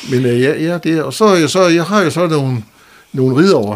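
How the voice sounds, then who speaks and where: The man's pitch swings very widely while he talks fairly slowly. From Denmark, North Jutland (Skagen/Vendsyssel). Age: 70s. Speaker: retired telecom worker and local personality. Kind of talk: interview. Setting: studio. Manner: halting, with many fillers and repetitions.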